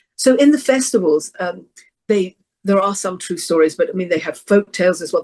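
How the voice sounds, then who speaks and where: A woman with an English accent talks at a fairly quick pace at a medium pitch with lively intonation. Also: big swings in loudness. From England. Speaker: professional storyteller. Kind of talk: interview conversation. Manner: halting.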